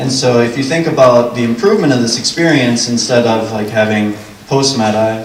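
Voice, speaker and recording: Fairly quick male speech with fairly even intonation, noticeable background noise and audible room echo. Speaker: software developer giving a conference talk. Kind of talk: conference presentation. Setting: conference stage with audience. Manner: fast.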